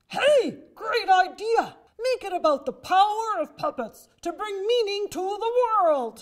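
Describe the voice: A put-on character voice at extremely high pitch moves along at a fairly slow pace.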